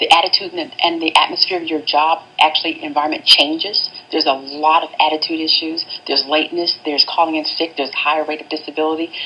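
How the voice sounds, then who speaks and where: A woman's very fast, monotone, very deep and low voice, with big swings in loudness and noticeable background noise. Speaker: public speaker; mental health consultant. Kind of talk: interview answer.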